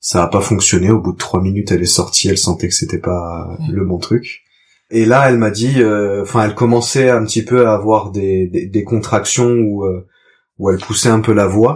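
On a very clean recording with a silent background, a man with an ordinary speaking voice talks at a moderate pace, his pitch fairly low with ordinary variation. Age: 30s. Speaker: father, trainee market gardener. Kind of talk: testimony.

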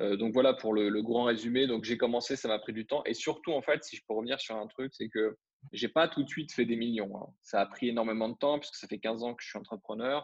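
A man speaks at a medium pitch and a fairly quick pace, with fairly even intonation. It is an ordinary speaking voice. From France. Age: 30s. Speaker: internet entrepreneur. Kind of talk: interview.

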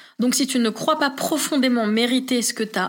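Speaking at a fairly slow pace, a woman has a high pitch with ordinary pitch variation. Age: 20s. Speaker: podcast guest sharing personal story. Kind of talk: testimony. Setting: home living room recording.

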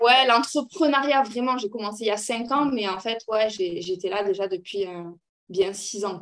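Talking fairly slowly, a woman with a fairly high pitch uses ordinary pitch variation and big swings in loudness. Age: 30s. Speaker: entrepreneur and mother. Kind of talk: casual chat. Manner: talkative.

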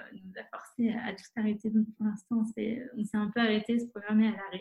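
The voice is somewhat breathy and moves at a moderate pace. Its intonation stays monotone and flat. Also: woman. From France, La Rochelle. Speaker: environmental association co-founder. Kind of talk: interview. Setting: video call.

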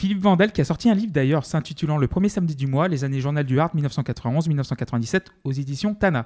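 A man's normal speaking voice, fairly high-pitched and fairly quick, with lively intonation, dry close sound with no echo, and a very clean recording over a silent background. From France, outside Paris. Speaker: podcast co-host. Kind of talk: casual chat.

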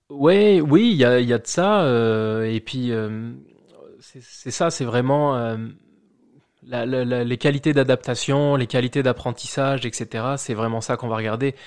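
Against a quiet background, a man speaks fairly slowly at a medium pitch. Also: ordinary pitch variation. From France, Charente-Maritime (rural village near La Rochelle). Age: 30s. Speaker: immigrant, bank employee. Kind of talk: casual interview. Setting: at the host's home. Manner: hesitant, many fillers and repetitions.

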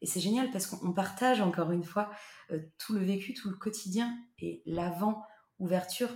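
Moderately paced speech from a woman, medium in pitch and fairly even in intonation. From central France, Loir-et-Cher. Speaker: holiday cottage owner. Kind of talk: casual interview. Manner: hesitant, many fillers.

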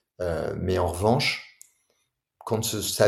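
A somewhat breathy male voice. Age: 40s. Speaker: tech entrepreneur and author. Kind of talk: interview. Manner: animated.

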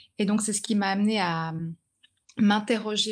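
A woman talks with fairly even intonation. The audio is very clean and the background silent. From grew up in China. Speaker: author and journalist. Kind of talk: interview.

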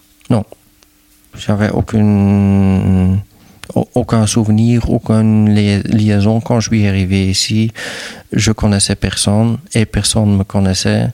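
In a Flemish accent, a man speaks very slowly with fairly low pitch, flat monotone intonation, very even loudness and long, frequent pauses, the sound dry and close with no echo. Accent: Flemish Dutch accent in French. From Flanders, Belgium (near Dutch border). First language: Dutch (speaking French). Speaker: hotel and restaurant owner. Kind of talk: interview conversation. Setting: on location at his hotel. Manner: hesitant with fillers.

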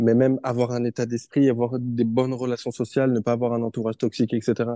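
A man at a medium pitch and moderate pace, dark and mellow in tone, with a dry, close sound with no echo and a quiet background. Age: 20s. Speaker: professional footballer and naturopath. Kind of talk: casual interview.

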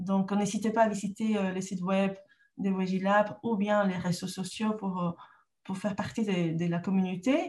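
Speaking fairly slowly with a Peruvian accent, a woman keeps a medium pitch and fairly even intonation, her voice somewhat breathy. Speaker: trainer and entrepreneur. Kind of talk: interview. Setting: rural home in northern France.

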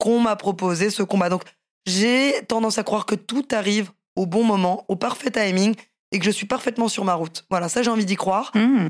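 A woman speaks fairly quickly at a fairly high pitch, with ordinary pitch variation. Her loudness stays very even throughout. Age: 30s. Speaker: professional MMA fighter and boxer. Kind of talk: casual interview.

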